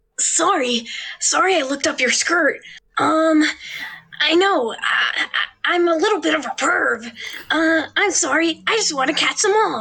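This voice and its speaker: A put-on character voice at an extremely high pitch moves at a moderate pace, broken by long, frequent pauses. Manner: sheepish, apologetic.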